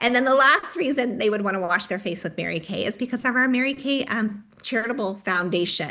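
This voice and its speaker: A woman's fairly high, animated voice with lively intonation, a fairly quick pace and hardly any pauses. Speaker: direct sales trainer. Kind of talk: training workshop.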